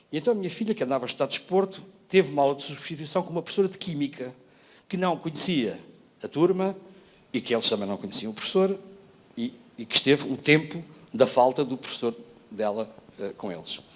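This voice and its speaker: Pitched fairly high, a man talks at a very fast pace with very wide pitch swings and long, frequent pauses. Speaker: educator, former education network coordinator. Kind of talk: panel talk presentation. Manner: hesitant, with many fillers and restarts.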